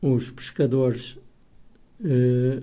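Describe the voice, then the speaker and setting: The man's voice sits at medium pitch with a dark, mellow tone. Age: 80s+. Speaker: author and poet. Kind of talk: casual radio interview.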